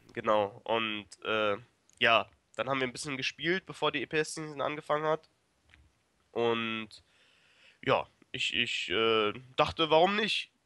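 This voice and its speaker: A man's medium-pitched voice, bright and sharp, with lively intonation at a very slow pace, long pauses coming often, the sound dry and close with no echo on a very clean recording with a silent background. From Germany, Braunschweig. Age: 20s. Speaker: esports player. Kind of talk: interview. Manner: hesitant, many fillers.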